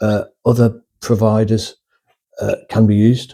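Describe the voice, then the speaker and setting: Speaking very slowly, a man uses a fairly low pitch and a dark, mellow tone with monotone, flat intonation. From northern England. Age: old. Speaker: retired YouTuber, former nurse. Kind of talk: casual vlog monologue. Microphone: cheap USB microphone.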